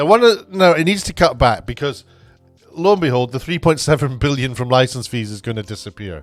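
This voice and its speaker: Intonation is lively and the pace fairly quick, with big swings in loudness. Music plays in the background. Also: man, medium pitch for a man. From Scotland. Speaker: TV producer and YouTuber. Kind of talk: casual unedited opinion vlog. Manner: halting, many fillers.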